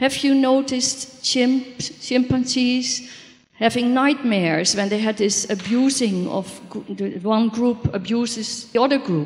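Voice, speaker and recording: Over noticeable background noise, a woman speaks fairly slowly in a high pitch with ordinary pitch variation. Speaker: audience member, dream therapist. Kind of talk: audience question.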